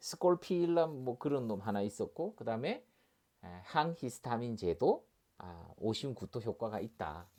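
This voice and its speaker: A man's medium-pitched voice with very wide pitch swings, on a very clean recording over a silent background. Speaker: doctor and pharmacology lecturer. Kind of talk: lecture. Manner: fast; hesitant, many fillers.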